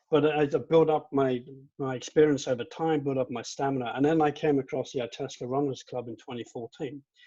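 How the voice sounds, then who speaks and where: Delivered at a fairly quick pace with a British accent, the voice has a dark, mellow tone and monotone, flat intonation. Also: man, fairly high pitch for a man. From England. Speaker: amateur runner, former judo competitor. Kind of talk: panel discussion.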